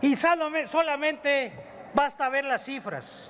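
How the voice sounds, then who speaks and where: A man's extremely high-pitched voice at a very slow pace. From Mexico. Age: 60s. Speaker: legislator. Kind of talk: parliamentary speech. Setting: legislative chamber podium. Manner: formal.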